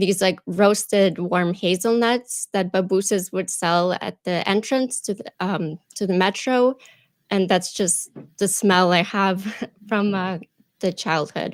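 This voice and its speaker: A woman with a Russian accent speaks at a medium pitch with fairly even intonation and a fairly slow pace, in a dry, close sound with no echo on a very clean recording with a silent background. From Ukraine, Kharkiv. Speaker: YouTube presenter and actor. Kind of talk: interview. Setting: live stream.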